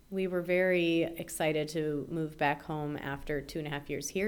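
Fairly even intonation in a woman's very deep, low-pitched voice. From Chicago, US Midwest. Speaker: English language teacher. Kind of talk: casual interview.

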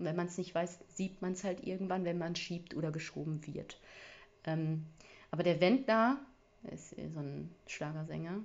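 A woman with fairly low pitch and ordinary pitch variation talks at a moderate pace, taking long, frequent pauses. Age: 30s. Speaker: podcast host. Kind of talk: casual solo monologue. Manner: casual, filler-heavy.

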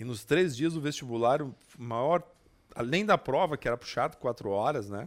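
A man with a normal speaking voice talks at a moderate pace in a medium pitch, his intonation lively. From southern Brazil, Passo Fundo. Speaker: public administration specialist. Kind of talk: casual interview. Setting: studio.

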